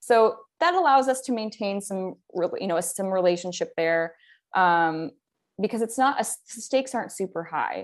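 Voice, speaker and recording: Against a quiet background, a woman speaks at a moderate pace with a fairly high pitch. Hers is an unremarkable speaking voice with lively intonation. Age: 30s. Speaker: writer. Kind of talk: casual chat.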